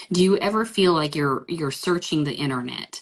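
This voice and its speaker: A woman speaks with ordinary pitch variation. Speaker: business coach. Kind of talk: live coaching session. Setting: live stream.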